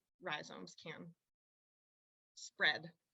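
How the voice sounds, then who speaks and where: A woman speaks at a very slow pace with vocal fry. Her tone is bright and sharp. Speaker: university researcher presenting on farming. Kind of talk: webinar presentation.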